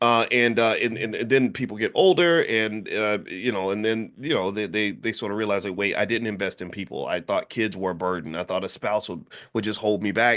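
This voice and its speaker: A man speaks at a fairly low pitch and fairly quick pace with ordinary pitch variation against a quiet background. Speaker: finance educator. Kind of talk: casual lecture. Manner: fast when excited; animated.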